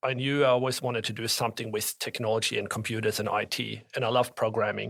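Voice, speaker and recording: A man speaks with a strong German accent. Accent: thick German. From Norway and Germany. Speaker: tax advisor. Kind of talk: interview.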